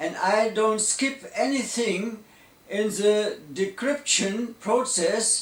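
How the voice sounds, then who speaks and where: A man's high-pitched voice at a very slow pace with ordinary pitch variation, audible room echo and noticeable background noise. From Germany. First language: German. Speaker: electronics engineer. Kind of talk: lecture.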